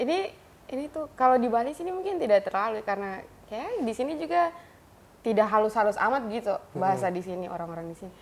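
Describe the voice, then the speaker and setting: Angry in tone, a woman with an eastern Indonesian accent talks at a very fast pace, her fairly high pitch swinging very widely and her loudness shifting in big swings. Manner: loud, almost angry-sounding.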